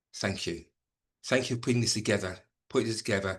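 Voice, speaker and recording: A man's voice with ordinary pitch variation. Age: 60s. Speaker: former head teacher and voice coach. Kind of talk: casual chat. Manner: hesitant, repeats words.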